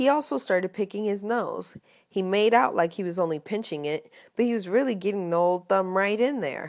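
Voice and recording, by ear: Natural voice reading aloud, pitch varying in an ordinary way.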